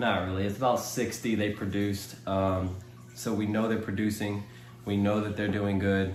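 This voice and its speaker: A man's fairly low voice moves at a moderate pace with ordinary pitch variation and very even loudness, with audible room echo. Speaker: aquarium hobbyist YouTuber. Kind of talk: casual tutorial vlog. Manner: hesitant fillers.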